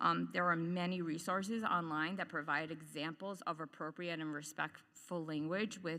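Loud and bright, the voice has a sharp tone and vocal fry at a moderate pace. The recording is very clean, with a silent background. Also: woman. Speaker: parent and occupational therapist, public commenter. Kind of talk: public comment at board meeting. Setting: public meeting, microphone.

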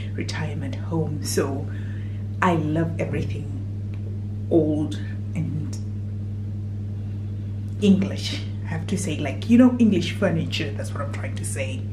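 With noticeable background noise, a woman speaks at a fairly slow pace, taking long, frequent pauses, her loudness swinging widely. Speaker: vlogger. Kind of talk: casual vlog chat. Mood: cheerful, enthusiastic. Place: bathroom. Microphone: phone near.

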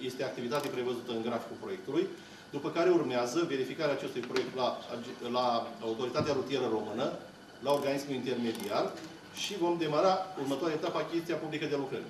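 A man talks at a very fast pace with a fairly high pitch. Noticeable background noise is present. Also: ordinary pitch variation. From Romania. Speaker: public official. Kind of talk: formal public speech. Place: meeting room. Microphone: podium.

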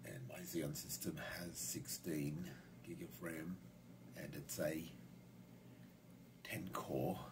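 Pitch varies in an ordinary way while noticeable background noise runs beneath the speech. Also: man. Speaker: hobbyist computer user. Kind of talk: casual tech tutorial narration. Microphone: phone near.

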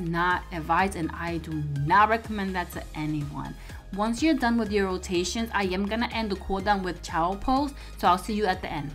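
Faint music plays in the background. Over it, a woman talks at a fairly quick pace. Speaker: personal trainer. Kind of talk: casual workout tutorial. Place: gym. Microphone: lapel.

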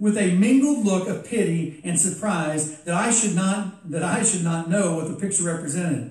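This clip is someone reading aloud. The reading is plain.

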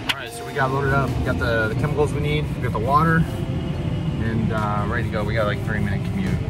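Over clear background music, a man talks very fast with hardly any pauses in a dry sound with no echo. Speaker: car detailer vlogger. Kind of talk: casual vlog chat. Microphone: phone near.

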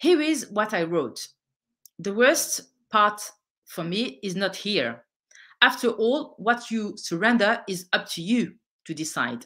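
A woman's medium-pitched voice with a French accent, bright and sharp in tone, at a fairly slow pace with long, frequent pauses and very wide pitch swings, over a quiet background. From France, of Algerian descent. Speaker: political activist and author. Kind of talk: lecture. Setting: online event. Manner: halting. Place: home room. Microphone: webcam.

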